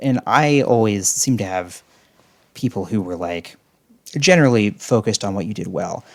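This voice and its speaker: With lively intonation, a man uses a plain, everyday voice at a fairly low pitch. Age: middle-aged. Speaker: podcast host, former cult member. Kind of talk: casual chat.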